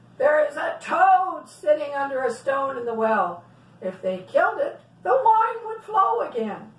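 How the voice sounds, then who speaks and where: In a put-on character voice with very wide pitch swings, a speaker goes at a moderate pace amid slight echo. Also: woman, high pitch for a woman. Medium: read story. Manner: gruff, irritable.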